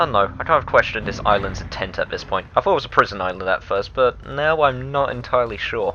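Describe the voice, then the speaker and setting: Music plays in the background as a man talks. He speaks at a very fast pace with hardly any pauses. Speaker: let's play gamer. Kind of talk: game commentary. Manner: low-energy.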